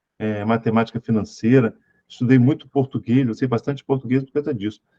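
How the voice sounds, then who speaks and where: This man talks at a fairly quick pace with a medium pitch. His tone is dark and mellow, and the sound is dry and close with no echo. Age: 50s. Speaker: spiritual teacher. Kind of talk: lecture. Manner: animated.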